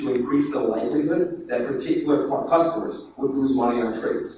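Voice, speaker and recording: A man's voice in a strongly echoing room, with light background noise. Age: 30s. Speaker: company founder giving a conference talk; conference speaker. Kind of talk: conference presentation. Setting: conference room with audience. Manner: many fillers and false starts. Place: hall. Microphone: phone near.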